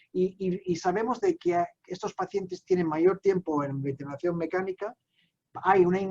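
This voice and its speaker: A high-pitched man at a fairly slow pace, with ordinary pitch variation and a dry, close sound with no echo. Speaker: psychiatrist, medical lecturer. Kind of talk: medical conference lecture. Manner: halting, many fillers.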